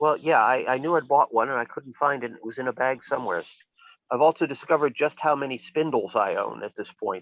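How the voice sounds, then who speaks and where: A man with an American accent talks at a very fast pace in a fairly high pitch, with ordinary pitch variation and big swings in loudness. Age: 60s. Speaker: witch and occult practitioner. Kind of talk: casual interview chat. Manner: halting, many fillers and restarts.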